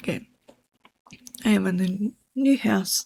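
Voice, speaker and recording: A woman whispers, somewhat breathy, in a dry, close sound with no echo. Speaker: book app vlogger. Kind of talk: casual chat. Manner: hesitant; whispering.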